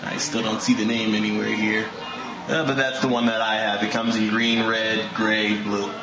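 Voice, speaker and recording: A man speaks while clear music plays in the background. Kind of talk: tutorial walkthrough. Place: home room. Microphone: phone near.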